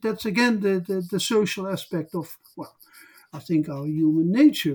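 Speaking with a Dutch accent, this voice has lively intonation and big swings in loudness. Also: man. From southern Netherlands. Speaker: social historian. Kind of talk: interview. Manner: halting.

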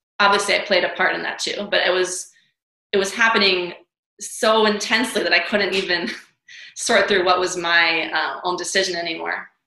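A woman with an American accent speaks at a moderate pace and medium pitch, her intonation fairly even, with audible room echo. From New York City. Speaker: author and dancer. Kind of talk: interview.

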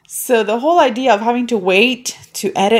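With lively intonation, a woman talks in a high pitch. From Puerto Rico. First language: Spanish. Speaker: podcast host. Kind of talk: casual monologue.

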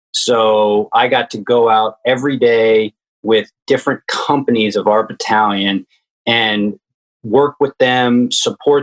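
Flat and monotone, the speaker uses an American accent at a fairly slow pace with very even loudness. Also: man. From US South, Richmond, Virginia. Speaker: army veteran, meditation nonprofit founder. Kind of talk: interview.

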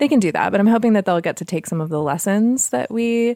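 A woman's fairly high, dark and mellow voice with lively intonation, dry and close with no echo, in a very clean recording over a silent background. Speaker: homesteader and podcast host. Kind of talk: casual interview chat.

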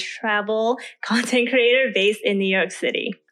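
A woman has a plain, everyday voice with an American accent. Her pitch is fairly high and her intonation fairly even. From US West Coast, Oakland. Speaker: lifestyle and travel content creator. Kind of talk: casual interview.

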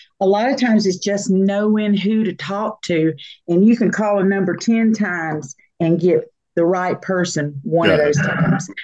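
Against a quiet background, a woman talks in a normal speaking voice at a medium pitch and moderate pace, with ordinary pitch variation. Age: 60s. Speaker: singer and songwriter. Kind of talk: interview.

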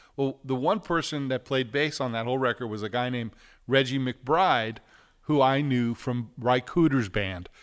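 A normal speaking voice with an American accent moves at a moderate pace and ordinary pitch variation. The recording is very clean, with a silent background. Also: man, medium pitch for a man. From New York City. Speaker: record producer and recording engineer. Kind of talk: casual interview chat.

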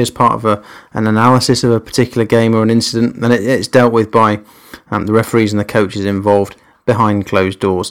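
Monotone and flat, a man with an English accent speaks at a very fast pace on a very clean recording with a silent background. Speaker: rugby referee and podcast host. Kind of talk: podcast introduction, scripted-style monologue.

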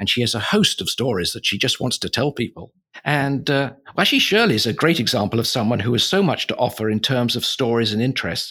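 A plain, everyday voice from a man, medium in pitch, fairly quick, with lively intonation on a very clean recording with a silent background. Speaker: podcast host.

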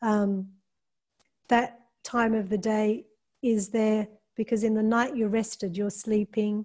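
Speaking very slowly with long, frequent pauses, a woman uses a fairly high pitch, a dark, mellow, somewhat breathy tone, monotone, flat intonation and very even loudness. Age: 50s. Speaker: yoga teacher and filmmaker. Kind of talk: interview.

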